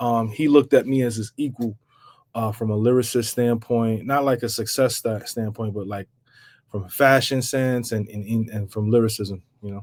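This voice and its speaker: The recording is very clean, with a silent background. A man speaks in a fairly even intonation. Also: medium pitch for a man, moderate pace. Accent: New York. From New York, Bronx. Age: 40s. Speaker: rapper. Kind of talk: podcast interview.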